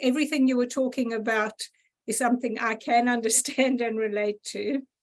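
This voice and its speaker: With a South African accent, this speaker goes at a moderate pace using fairly even intonation. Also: woman. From South Africa, Gauteng. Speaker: audience member. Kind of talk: casual chat.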